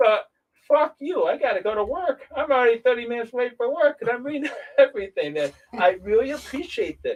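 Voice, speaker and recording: Speaking at a fairly quick pace, a man with a New York accent has an extremely high pitch. His intonation is lively. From upstate New York, between Rochester and Syracuse. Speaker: guest. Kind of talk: casual chat.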